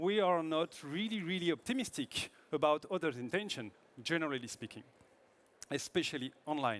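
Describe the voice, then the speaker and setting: A man with a French accent speaks at a moderate pace, his fairly high pitch carrying lively intonation. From France. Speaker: product manager presenting at a tech conference. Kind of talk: conference talk. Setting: stage with audience.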